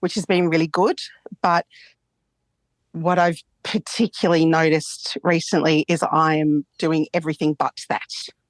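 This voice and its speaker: A woman's monotone, flat delivery with long, frequent pauses, very even loudness, and a dry, close sound with no echo against a quiet background. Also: fairly low pitch for a woman, moderate pace. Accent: Australian. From Australia. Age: 50s. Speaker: psychologist. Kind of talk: therapy session call.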